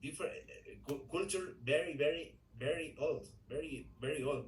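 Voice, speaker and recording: A man with a Spanish accent, with audible room echo. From Ecuador. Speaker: English learner in a group class. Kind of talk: language class conversation practice. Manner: halting, with many repetitions and fillers.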